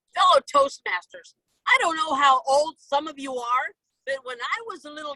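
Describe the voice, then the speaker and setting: A woman's raised, projected voice, bright and sharp in tone, with very wide pitch swings and a dry, close sound with no echo. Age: 60s. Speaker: toastmasters club member. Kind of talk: impromptu humorous speech. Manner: animated.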